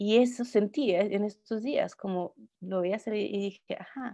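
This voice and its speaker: At a fairly slow pace, a woman speaks with a dark, mellow tone and ordinary pitch variation. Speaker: clown performer. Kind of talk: interview conversation.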